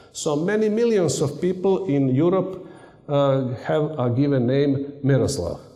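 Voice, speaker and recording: A man speaks at a moderate pace with a Serbian accent, his pitch fairly high and his intonation lively. Audible room echo and noticeable background noise surround his voice. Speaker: university lecturer and radio amateur. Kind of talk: conference talk. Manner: halting.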